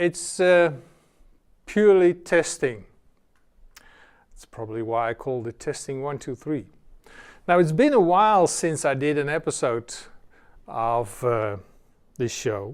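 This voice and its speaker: A man with a non-native accent and a fairly high pitch speaks fairly slowly with lively intonation, big swings in loudness and long, frequent pauses, in a very clean recording with a silent background. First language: not English. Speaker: software developer. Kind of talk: casual tutorial. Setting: home studio with cameras. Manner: hesitant, many fillers.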